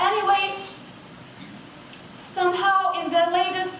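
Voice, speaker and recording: A woman with a non-native accent speaks slowly in a flat monotone, with audible room echo. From Kosovo. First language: Albanian. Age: 20s. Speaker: astronomy outreach founder and student. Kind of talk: keynote speech. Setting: stage with audience.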